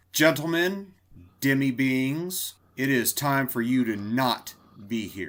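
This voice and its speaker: Doing a put-on character voice, a man speaks loudly at a medium pitch and fairly slow pace. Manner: commanding, proclaiming.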